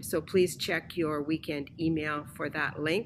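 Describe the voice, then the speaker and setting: A woman speaks over light background noise. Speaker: church announcer. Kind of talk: church announcements. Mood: warm, welcoming. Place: home room.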